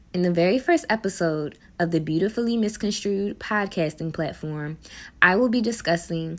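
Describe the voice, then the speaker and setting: An unremarkable speaking voice from a woman, at a moderate pace with ordinary pitch variation, on a very clean recording with a silent background. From Baltimore, Maryland. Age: 20s. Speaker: podcast host and social work student. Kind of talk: solo podcast monologue, partly scripted.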